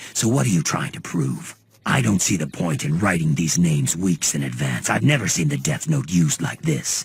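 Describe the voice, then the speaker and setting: A man's cartoonish character voice, very deep and low, at a moderate pace. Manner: casual, laid-back.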